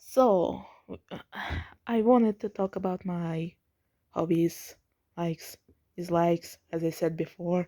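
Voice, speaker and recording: With a dark, mellow tone and fairly low pitch, a woman keeps her intonation fairly even. She leaves long, frequent pauses on a very clean recording with a silent background. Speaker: vlogger. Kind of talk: casual vlog monologue. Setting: at home at night, family nearby. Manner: trying to keep quiet; halting, repeats words.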